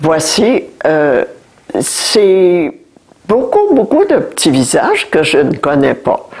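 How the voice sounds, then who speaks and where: Noticeable background noise sits under the recording. A woman talks very slowly. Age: 80s+. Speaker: great-grandmother visiting a school class. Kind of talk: talk to schoolchildren about the past. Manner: halting with hesitations.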